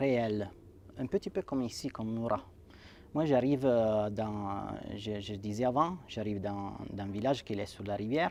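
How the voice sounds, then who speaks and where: In an Italian accent, a man speaks with fairly low pitch and ordinary pitch variation. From Italy (Sanremo, Liguria). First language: Italian (speaking French). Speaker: writer and poet. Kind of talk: interview. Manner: halting, many repetitions and fillers.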